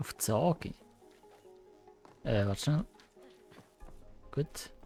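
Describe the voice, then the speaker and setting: A man speaks at a very slow pace. Music plays in the background. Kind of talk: casual gameplay commentary. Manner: excited.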